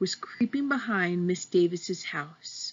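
The lines are given in an unforced reading voice. Lively intonation runs through them.

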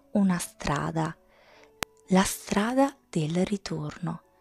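In a very clean recording with a silent background and a dry, close sound with no echo, a woman speaks at a medium pitch with a gentle, soothing, somewhat breathy tone and lively intonation. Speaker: ASMR storyteller reading her own tales. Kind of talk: bedtime story reading aloud, ASMR style. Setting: home recording, close-mic ASMR. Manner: slow, soft-spoken, soothing; gentle, dreamy, measured storytelling pace.

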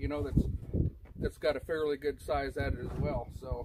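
Loud background noise runs under this recording. A man speaks at a moderate pace. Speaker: product reviewer. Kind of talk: casual product review. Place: open country. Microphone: camera far.

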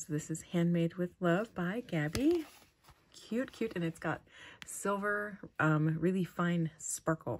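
At a fairly slow pace, a woman talks in a fairly low voice with ordinary pitch variation. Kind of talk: casual vlog chat. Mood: warm, delighted. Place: home room.

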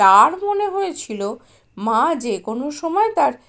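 This clip is plain reading aloud.

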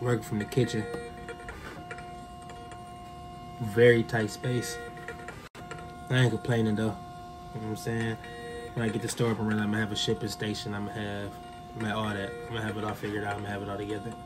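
A man talks at a very fast pace in a fairly low pitch with flat, monotone intonation, while clear music plays in the background. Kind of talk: casual vlog chat. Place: kitchen. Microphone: phone near.

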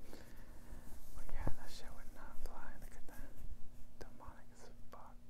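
A man whispers in a gentle tone. Background noise is noticeable. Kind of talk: ASMR show-and-tell to camera. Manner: gentle, whispering.

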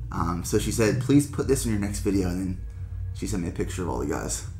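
A man talks over music playing in the background. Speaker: vlogger. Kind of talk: casual vlog chat. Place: office. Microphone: camera far.

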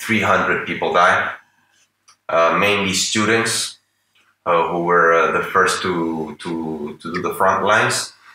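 With a Spanish accent and a very deep, low pitch, a man speaks at a very slow pace with long, frequent pauses and fairly even intonation, over light background noise and audible room echo. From Venezuela. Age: 40s. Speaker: artist and political analyst; political analyst. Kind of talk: interview. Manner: halting. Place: home room.

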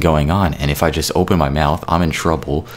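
With light background noise behind him, a man with a very deep, low pitch talks at a fairly quick pace and fairly even intonation. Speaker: YouTube music creator and podcaster. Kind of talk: angry rant, a furious, profanity-laden callout aimed at a former co-host. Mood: angry, frustrated. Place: home room. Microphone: studio mic.

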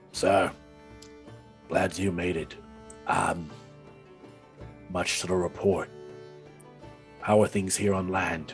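A put-on character voice from a man, very deep and low, fairly slow and monotone, with clear music in the background

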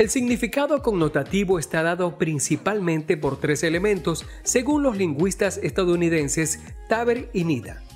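A man speaks at a high pitch with lively intonation and a moderate pace. He hardly pauses, and music plays in the background. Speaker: voice-over narrator. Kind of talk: educational explainer narration.

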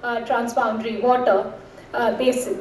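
Recorded with audible room echo, a woman speaks at a moderate pace. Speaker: speaker. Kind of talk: conference talk. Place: stage. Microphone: podium.

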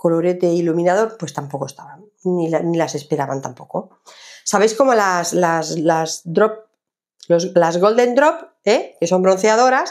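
A woman speaks at a fairly slow pace in a medium pitch. Her pitch varies in an ordinary way against a quiet background. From Jaén, Andalusia, Spain. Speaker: lifestyle vlogger. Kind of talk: casual haul video monologue. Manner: hesitant, many fillers. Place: home room.

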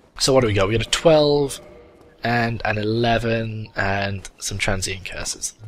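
Over music in the background, a man with a British accent speaks at a fairly slow pace, his fairly low pitch showing ordinary variation. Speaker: gaming video commentator. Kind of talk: let's play commentary. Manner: animated.

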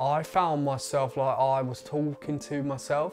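Clear music plays in the background as a man speaks at a very slow pace. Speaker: documentary maker talking about stammering. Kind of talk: personal account in documentary. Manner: stammering speech. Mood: earnest, reflective. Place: home room. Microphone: lapel.

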